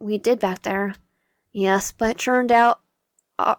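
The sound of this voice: An unforced reading voice is heard over a quiet background.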